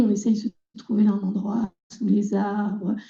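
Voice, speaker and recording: The tone is dark and mellow. This female speaker goes at a fairly slow tempo. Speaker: environmental educator. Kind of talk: conference talk. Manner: hesitant, many fillers.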